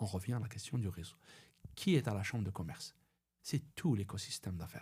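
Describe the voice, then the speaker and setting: A man with an Algerian accent, fairly low-pitched and somewhat breathy, at a fairly quick pace, with ordinary pitch variation and big swings in loudness. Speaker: personal branding consultant. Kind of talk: podcast interview. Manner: halting, many repetitions.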